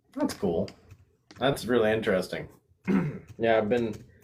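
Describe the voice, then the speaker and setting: Ordinary pitch variation from a man at a medium pitch. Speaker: paranormal channel host. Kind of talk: interview chat. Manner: fast.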